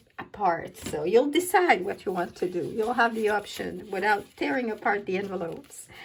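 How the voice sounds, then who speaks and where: A woman speaks with a French accent. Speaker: paper craft demonstrator. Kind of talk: casual craft tutorial talk to camera. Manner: hesitant, many fillers.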